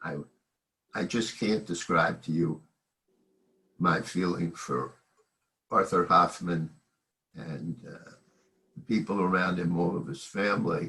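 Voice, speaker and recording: Slow-paced with long, frequent pauses, a man talks in a very deep, low pitch with a bright, sharp tone, ordinary pitch variation and big swings in loudness. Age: 80s+. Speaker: family friend. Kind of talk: memorial gathering remarks. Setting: video call.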